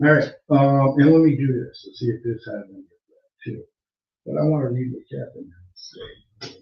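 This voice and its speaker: At a moderate speed, a man speaks with big swings in his loudness. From Massachusetts. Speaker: online radio show host. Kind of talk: casual live-stream talk. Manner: halting, many fillers. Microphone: sounds far away, mic problem.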